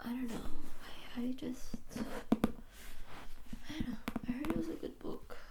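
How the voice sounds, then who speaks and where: Soft-spoken, very slow delivery in an American accent over noticeable background noise. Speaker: ASMR creator. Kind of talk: ASMR soft-spoken reading and chat.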